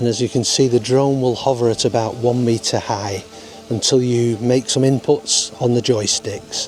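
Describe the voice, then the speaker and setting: A man with a strong Lancashire accent speaks at a moderate pace and a medium pitch, with fairly even intonation. His loudness stays very even, and music plays in the background. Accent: broad Lancashire. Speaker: drone pilot. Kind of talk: tutorial talk to camera. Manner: unpolished, casual.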